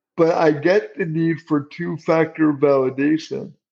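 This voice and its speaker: Speaking very slowly, a man keeps a fairly high pitch and fairly even intonation. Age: 50s. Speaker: accessibility director at tech company. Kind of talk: interview.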